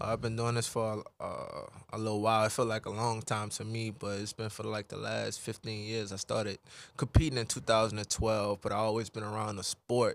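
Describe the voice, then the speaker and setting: A man's fairly low voice, monotone and flat, at a fairly quick pace, dry and close with no echo. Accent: New Orleans. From New Orleans, Louisiana. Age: 20s. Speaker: professional boxer. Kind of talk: casual interview. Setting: radio studio. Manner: laid-back, calm.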